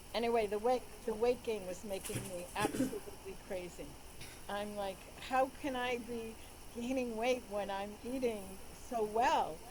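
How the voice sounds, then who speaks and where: Against noticeable background noise, a woman with a fairly high pitch and ordinary pitch variation speaks at a moderate pace, leaving long, frequent pauses. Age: 70s. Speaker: doctor sharing personal patient story. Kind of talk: interview. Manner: halting.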